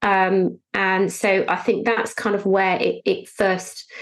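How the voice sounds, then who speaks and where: A woman's medium-pitched voice with a British accent. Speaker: financial planner. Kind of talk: interview, conversational.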